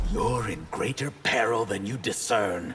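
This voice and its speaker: A man's cartoonish character voice at medium pitch and moderate pace, with clear background noise. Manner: haughty, defiant.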